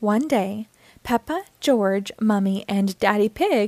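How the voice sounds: This is a natural reading voice. The words are read as written.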